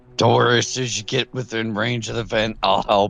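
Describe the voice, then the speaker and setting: A man puts on a character voice, raspy and medium in pitch. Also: fairly quick pace. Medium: actual play.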